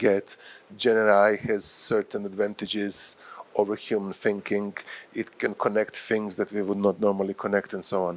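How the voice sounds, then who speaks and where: The intonation is monotone and flat. The pace stays moderate. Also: man. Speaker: professor and journal editor. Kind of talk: lecture. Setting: workshop with live audience.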